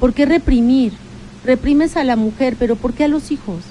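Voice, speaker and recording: Noticeable noise fills the background. A woman talks in a high voice. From Mexico, Puebla (Tecamachalco). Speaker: local politician. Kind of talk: radio interview. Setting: radio studio.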